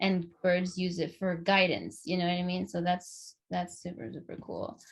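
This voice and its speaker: Somewhat breathy speech with a Spanish accent, monotone, flat intonation and a moderate pace. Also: woman, fairly low pitch for a woman. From Los Angeles, US. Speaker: podcast host. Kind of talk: casual chat. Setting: video call. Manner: halting, many fillers.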